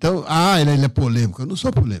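Somewhat breathy speech comes at a fairly quick pace with very wide pitch swings against a quiet background. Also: man. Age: 70s. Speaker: journalist and political candidate; journalist, candidate. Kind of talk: radio interview. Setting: radio studio. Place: studio. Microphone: studio mic.

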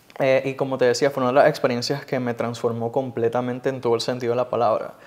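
A man speaks at a medium pitch. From Puerto Rico, Cidra mountain town. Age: 20s. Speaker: TV news reporter. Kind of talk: interview.

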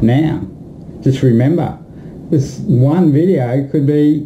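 Speaking at a very slow pace in an Australian accent, the voice sits over light background noise. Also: man. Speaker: music promoter. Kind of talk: promotional video message. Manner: animated. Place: home room. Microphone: webcam.

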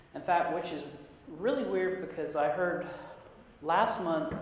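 A man's high-pitched voice at a moderate pace, with strong room echo and light background noise. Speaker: sysadmin and conference presenter. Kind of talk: conference talk. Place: meeting room.

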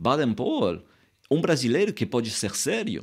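A man with a French accent speaks at a fairly high pitch, with very wide pitch swings and vocal fry. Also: quiet background. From France. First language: French (speaking Portuguese). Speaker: writer; interviewee. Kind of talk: interview. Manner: halting. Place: studio. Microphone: studio mic.

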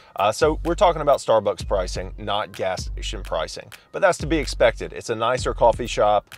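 Faint music plays behind a man whose voice sounds dry with no echo. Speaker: coffee shop reviewer. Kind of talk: casual vlog review. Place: car. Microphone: phone near.

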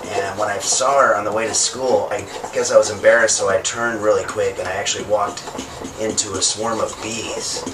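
A man hurries along at a fairly quick pace while noticeable background noise plays behind him. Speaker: home cooking show host. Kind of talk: tutorial. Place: kitchen.

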